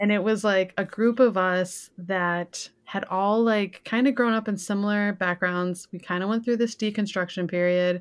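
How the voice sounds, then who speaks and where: In a plain, everyday voice, a woman with an American accent speaks at a moderate pace and medium pitch, her intonation fairly even and hardly any pauses, in a very clean recording with a silent background. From Michigan, Detroit area (Pontiac, Lake Orion). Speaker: podcast guest, music fan. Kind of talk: casual chat.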